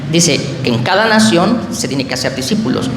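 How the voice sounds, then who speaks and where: Against noticeable background noise and audible room echo, a man speaks with lively intonation. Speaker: protestant pastor. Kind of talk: public religious debate. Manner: fast; hesitant, with fillers.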